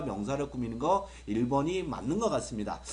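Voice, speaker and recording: An animated voice with very wide pitch swings comes through audible room echo. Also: man. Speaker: English grammar teacher. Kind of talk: video lecture. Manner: fast.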